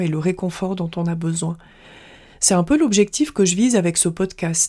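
A dark, mellow tone comes at a fairly slow pace with ordinary pitch variation. The recording is very clean, with a silent background. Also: woman. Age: 40s. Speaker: self-compassion coach and podcast host. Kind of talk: scripted monologue.

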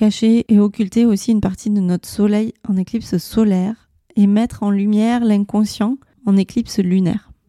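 A dark, mellow tone in a monotone, flat delivery at a moderate pace, very even in loudness, dry and close with no echo. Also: woman, medium pitch for a woman. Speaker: astrology podcast host. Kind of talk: solo podcast monologue.

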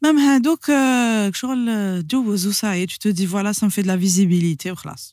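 A woman talks in a normal speaking voice at a moderate pace, hardly pausing, with a medium pitch. Her intonation is lively, and the recording is very clean with a silent background. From Algeria, Sidi Bel Abbes. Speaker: singer of Andalusian music and business owner. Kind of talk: casual interview chat.

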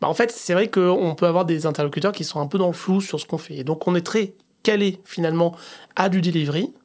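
Fairly quick delivery with ordinary pitch variation, in a very clean recording with a silent background. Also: man, high pitch for a man. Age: 40s. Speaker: head of design. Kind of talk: casual interview.

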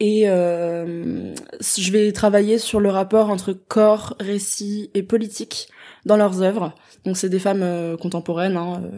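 Delivery is very slow, with monotone, flat intonation and a dark, mellow tone. The recording is very clean, with a silent background. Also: woman, medium pitch for a woman. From France, Strasbourg (Alsace). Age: 20s. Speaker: student and arts intern. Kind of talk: casual interview.

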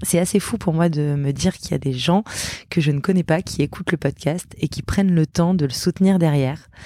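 A woman with a dark, mellow tone talks at a fairly quick pace with ordinary pitch variation, in a dry, close sound with no echo. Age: 30s. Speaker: podcast host. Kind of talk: solo podcast monologue. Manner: hesitant, many fillers.

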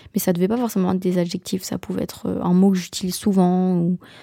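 The speaker moves along at a fairly quick pace. The sound is dry and close, with no echo. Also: woman. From Belgium. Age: 20s. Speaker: podcaster, university student. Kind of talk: solo podcast monologue. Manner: casual, hesitant with fillers.

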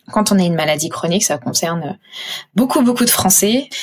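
A woman with a normal speaking voice talks at a medium pitch with ordinary pitch variation. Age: 30s. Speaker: patient advocate and entrepreneur. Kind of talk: personal testimony interview.

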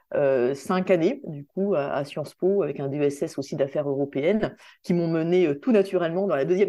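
Against a quiet background, a woman speaks in a dark, mellow tone at a fairly low pitch. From Réunion, Saint-Denis. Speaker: cosmetics brand founder. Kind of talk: interview.

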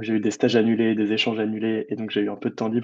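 A man's voice at medium pitch. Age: 20s. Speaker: adventurer and author. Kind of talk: interview. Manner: hesitant, many fillers.

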